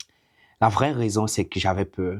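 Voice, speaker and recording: This recording is very clean and the background silent. In it, a man talks in a rather deep register. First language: English (speaking French). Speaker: vlogger. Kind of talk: casual monologue to camera. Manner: halting, hesitant.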